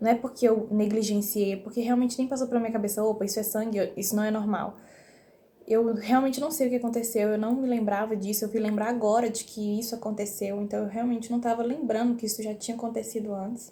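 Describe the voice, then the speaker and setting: Talking at a very fast pace, this woman has a fairly high pitch, a dark, mellow tone, a somewhat breathy quality and monotone, flat intonation. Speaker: vlogger. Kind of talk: personal vlog. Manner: whispering.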